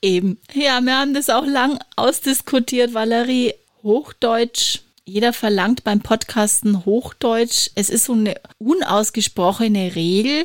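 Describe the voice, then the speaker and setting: A woman's fairly high voice, ordinary pitch variation, fairly slow pace. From Franconia, Germany. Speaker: podcast host and podcast trainer. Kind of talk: casual chat.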